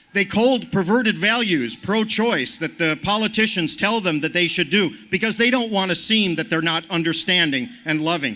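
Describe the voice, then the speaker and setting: A man's high, raised, projected voice with a bright, sharp tone, moderate pace, ordinary pitch variation, very even loudness and hardly any pauses. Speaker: activist speaker. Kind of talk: rally speech.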